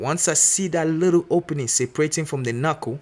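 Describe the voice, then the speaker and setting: The pace of this man's speech is fairly quick. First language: not English. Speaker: mechanic apprentice. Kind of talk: tutorial. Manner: casual, filler-heavy.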